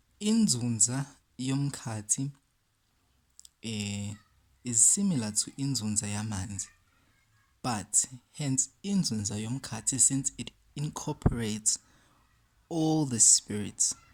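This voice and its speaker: Someone with a South African accent speaks at a very slow pace with long, frequent pauses, in a very clean recording with a silent background. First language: isiZulu. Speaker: spiritual teacher. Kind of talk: talk to camera. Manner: code-switching between English and isiZulu.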